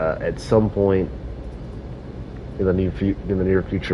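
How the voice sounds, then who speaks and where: At a moderate pace, a man talks while noticeable background noise is heard. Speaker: gaming livestreamer. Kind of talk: live gameplay commentary. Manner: casual, halting with fillers.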